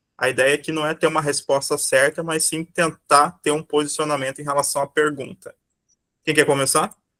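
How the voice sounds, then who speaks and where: Monotone, flat intonation from a man with a bright, sharp tone and fairly high pitch, at a moderate pace, in a dry, close sound with no echo. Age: 30s. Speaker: teacher. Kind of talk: lecture.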